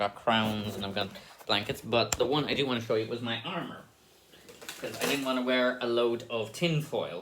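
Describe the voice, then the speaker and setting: A man with an Irish accent speaks at a moderate pace and medium pitch, with ordinary pitch variation over noticeable background noise. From Ireland. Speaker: stage actor. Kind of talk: casual behind-the-scenes monologue. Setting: dressing room, recorded on camera.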